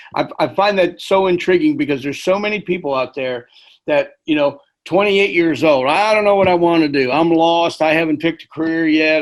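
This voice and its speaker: A normal speaking voice from a man, fairly high in pitch, fairly quick, with ordinary pitch variation, over a quiet background. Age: 60s. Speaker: podcast host. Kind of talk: podcast interview.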